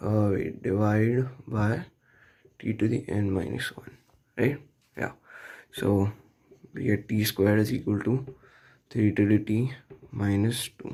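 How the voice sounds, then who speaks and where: A man's somewhat breathy voice with a dark, mellow tone and fairly low pitch, ordinary pitch variation, a fairly slow pace and long, frequent pauses. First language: not English. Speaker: math tutorial youtuber. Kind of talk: tutorial. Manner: casual, many fillers.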